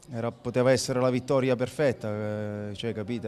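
A man speaks with fairly even intonation, with light background noise behind him. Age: 30s. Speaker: professional footballer. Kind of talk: post-match interview. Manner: halting, many fillers and repetitions. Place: stadium. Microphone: handheld.

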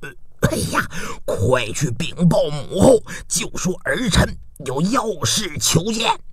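Slowly, a man puts on a character voice, fairly high and fairly bright, with big pitch swings.

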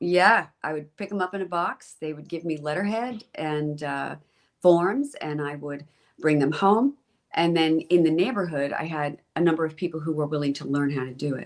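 With a central Pennsylvania accent, a woman of very deep, low pitch speaks at a moderate pace, with ordinary pitch variation and big swings in loudness. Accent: central Pennsylvania American. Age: 60s. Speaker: school board president. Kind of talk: interview. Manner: hesitant, many fillers.

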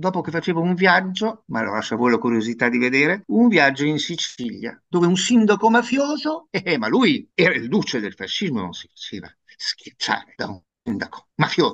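With hardly any pauses, a man speaks at a moderate pace and high pitch, his pitch swinging very widely and his loudness shifting a lot. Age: 60s. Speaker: professor. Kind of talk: interview. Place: home room. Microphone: video call.

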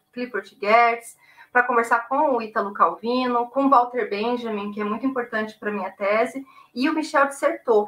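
The woman's voice is high in pitch, its rise and fall ordinary. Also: moderate pace. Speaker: guest. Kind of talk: interview answer. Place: home room. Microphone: video call.

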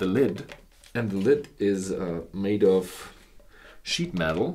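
A man's voice over loud background noise. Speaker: whisky reviewer. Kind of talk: product review talk. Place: studio.

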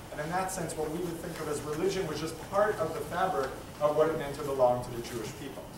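Noticeable background noise and audible room echo surround a man talking at a very fast pace. His pitch is fairly high, with ordinary variation. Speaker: rabbi and teacher moderating a public talk. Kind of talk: moderated public conversation. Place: hall. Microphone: camera far.

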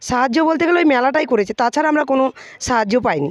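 Dry and close with no echo, this woman's voice sits at a high pitch with ordinary pitch variation. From West Bengal, Nadia district. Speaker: bamboo craft artisan. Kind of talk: interview.

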